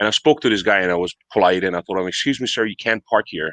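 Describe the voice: At a very fast pace, the voice comes through fairly bright in tone with ordinary pitch variation and a dry, close sound with no echo. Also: man, low pitch for a man.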